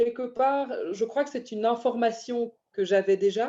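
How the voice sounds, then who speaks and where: A woman's fairly high voice has a dark, mellow tone and ordinary pitch variation. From Belgium, Brussels. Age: 30s. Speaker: banker. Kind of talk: interview. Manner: hesitant, many fillers.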